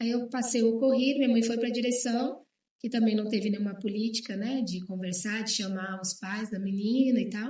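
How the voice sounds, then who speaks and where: Somewhat breathy with a dark, mellow tone, a woman speaks at a fairly high pitch with fairly even intonation. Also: moderate pace. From Brazil, Bahia, moved around often. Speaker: guest sharing life story. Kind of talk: testimony in TV talk show.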